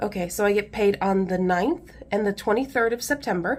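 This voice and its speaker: A woman's fairly high voice in an American accent, with ordinary pitch variation. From US Midwest, Indiana. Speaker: budgeting vlogger. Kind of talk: casual tutorial. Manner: chatty.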